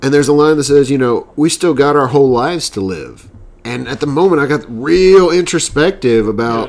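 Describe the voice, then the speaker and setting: This man has an ordinary speaking voice. He talks at a moderate pace with lively intonation. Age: 30s. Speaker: podcast co-host. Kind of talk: casual chat.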